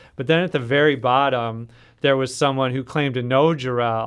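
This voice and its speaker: A man talks at a moderate pace with an American accent. His pitch sits in the medium range. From Minnesota. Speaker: author. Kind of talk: interview.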